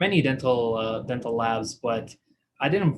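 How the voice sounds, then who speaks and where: A man speaks at a medium pitch with an Iraqi accent, his voice somewhat breathy. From Iraq (Baghdad). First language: Arabic. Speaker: dental technician. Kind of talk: live online presentation. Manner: hesitant, many fillers.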